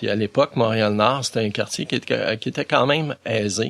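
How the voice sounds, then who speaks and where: A man speaks in a normal speaking voice at a medium pitch and a moderate pace. His intonation is fairly even, and the sound is dry and close with no echo. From Quebec, Montreal. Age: 60s. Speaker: volunteer for visually impaired people. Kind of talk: interview.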